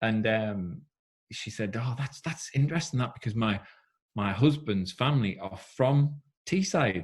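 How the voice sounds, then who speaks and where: Lively intonation marks this man's medium-pitched, somewhat breathy voice. He speaks at a fairly slow pace. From northeast England, South Shields. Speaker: former Olympic swimmer and swim school founder. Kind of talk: casual interview chat. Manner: animated.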